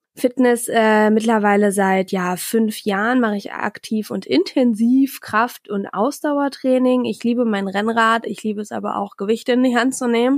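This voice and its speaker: A woman with an unremarkable speaking voice talks at a moderate pace and fairly high pitch, with ordinary pitch variation and hardly any pauses. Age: 20s. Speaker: podcast host, master's student. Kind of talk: solo podcast monologue. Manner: chatty, with filler sounds.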